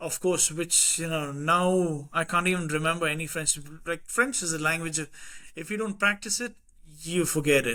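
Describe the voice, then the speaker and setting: A man's high-pitched voice with a bright, sharp tone, ordinary pitch variation and a moderate pace. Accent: slight Indian. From India, Madras (Perambur), Anglo-Indian. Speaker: podcast guest. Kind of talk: casual chat.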